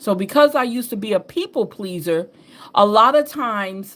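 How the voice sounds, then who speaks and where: With a Southern US accent, a woman speaks at a medium pitch and with lively intonation. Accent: Southern drawl picked up over years. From upstate New York. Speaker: tarot and astrology reader. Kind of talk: casual spiritual reading monologue. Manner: laid-back, relaxed.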